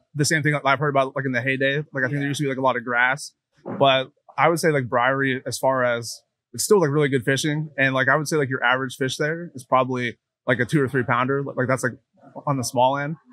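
With an American accent, a man speaks at a very fast pace in a bright, sharp tone and fairly even intonation, the sound dry with no echo against a quiet background. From central Pennsylvania. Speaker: angler; podcast guest. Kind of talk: casual interview. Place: hall. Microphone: studio mic.

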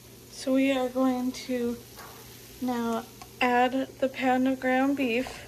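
Over light background noise, a woman with a high voice speaks at a very slow pace in a monotone, flat intonation. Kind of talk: tutorial. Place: kitchen. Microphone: phone near.

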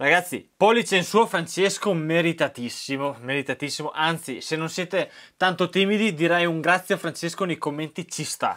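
A man's high-pitched voice, bright and sharp in tone, at a moderate pace with ordinary pitch variation against a quiet background. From Italy. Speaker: YouTube maker and tutorial host; tutorial host. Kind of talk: tutorial. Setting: garage workshop. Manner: animated. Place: workshop.

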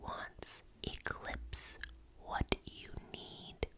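Loud background noise fills the clip. Over it, a woman talks at a very slow pace. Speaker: ASMR creator. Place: home room. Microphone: studio mic.

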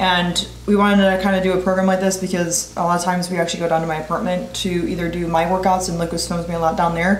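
Speaking very fast in a flat monotone, a woman is heard with audible room echo and light background noise. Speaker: fitness vlogger. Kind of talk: casual vlog chat. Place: kitchen.

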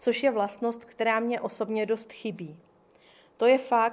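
The speaker is reading aloud in a natural voice. The delivery comes across as reading aloud in a natural voice.

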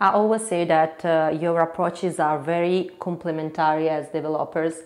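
Her fairly low-pitched voice, in an Italian accent, keeps a monotone, flat intonation as this woman speaks at a moderate pace. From Italy. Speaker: interviewer and host. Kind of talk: interview questions. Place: studio. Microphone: lapel.

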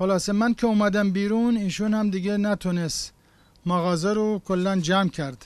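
The man's high-pitched voice moves at a moderate pace with fairly even intonation, and the sound is dry with no echo. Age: 70s. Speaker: toy repairman. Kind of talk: interview answer.

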